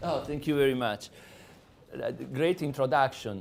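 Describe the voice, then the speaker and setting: A man's medium-pitched voice with an Italian accent and ordinary pitch variation. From Sardinia, Italy. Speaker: lecturer. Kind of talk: lecture.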